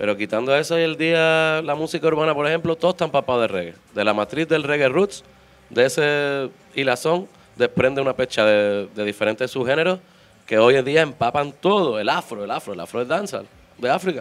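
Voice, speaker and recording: A man speaks at a fairly quick pace. His fairly high voice has lively intonation. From Málaga, Andalusia, Spain; Andalusia, Spain. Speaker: reggae singer; guest. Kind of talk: casual interview. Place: studio. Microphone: handheld.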